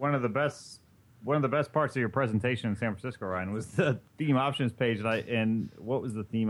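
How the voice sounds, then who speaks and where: A man with a normal speaking voice and an American accent talks at a fairly quick pace with ordinary pitch variation against a quiet background. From Indiana. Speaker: podcast co-host. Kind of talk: casual chat.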